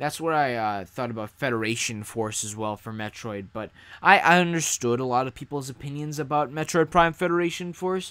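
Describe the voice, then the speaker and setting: On a very clean recording with a silent background, a man in an ordinary speaking voice talks at a fairly quick pace and medium pitch with hardly any pauses, lively intonation and big swings in loudness. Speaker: gaming YouTuber. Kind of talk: casual livestream chat. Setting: livestream reading chat.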